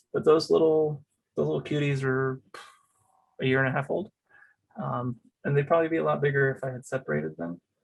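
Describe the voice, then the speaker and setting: Somewhat breathy and at medium pitch, a man speaks very fast with lively intonation yet leaves long, frequent pauses. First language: Spanish. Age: 30s. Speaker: cactus grower. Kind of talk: casual interview. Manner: halting, many fillers.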